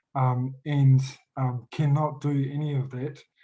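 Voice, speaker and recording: A man talks in a dark, mellow, somewhat breathy tone with an Australian accent. His intonation is monotone and flat. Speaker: youth worker, audience member asking a question. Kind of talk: panel Q&A question. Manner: halting, many fillers and restarts.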